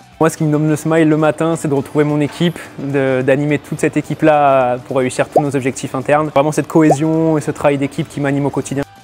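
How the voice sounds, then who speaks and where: With music in the background, a man with a fairly high pitch speaks in a monotone, flat intonation at a very fast pace. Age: 20s. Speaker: store manager. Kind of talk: interview testimony.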